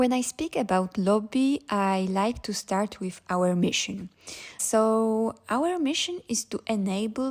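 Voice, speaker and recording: A woman with a Polish accent speaks at a very slow pace with ordinary pitch variation. The recording is very clean and the background silent. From Poland. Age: 20s. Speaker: startup founder. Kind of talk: interview.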